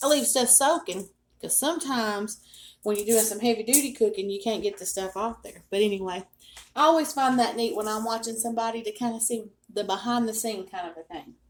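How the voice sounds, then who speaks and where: This woman's voice sits fairly high, with ordinary pitch variation and big swings in loudness. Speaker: cooking video host. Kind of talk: cooking tutorial. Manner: casual, chatty. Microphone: no microphone, built-in device mic.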